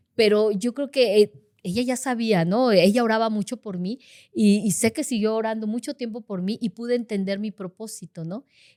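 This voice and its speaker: A woman with a fairly high pitch speaks at a moderate pace in a dark, mellow tone with ordinary pitch variation. The recording is very clean and dry, close-sounding with no echo over a silent background. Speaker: intercessor in a church. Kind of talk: casual chat. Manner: loud.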